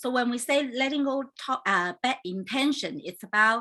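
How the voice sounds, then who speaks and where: A woman with a Chinese accent, a bright, sharp tone and very wide pitch swings, against a quiet background. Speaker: life coach and hypnotherapist hosting a talk show. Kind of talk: casual online talk show introduction. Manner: hesitant, many fillers.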